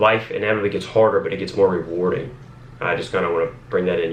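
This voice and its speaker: A man with an American accent speaks at a fairly quick pace. Audible room echo is present. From Northern Virginia, US. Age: 20s. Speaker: police officer and lifestyle vlogger. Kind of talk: casual vlog monologue. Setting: home office, talking to camera. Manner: rambling, filler-heavy.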